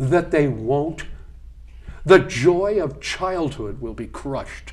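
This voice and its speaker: The speaker is a man. His tone is animated. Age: 60s. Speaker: political candidate. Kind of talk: interview.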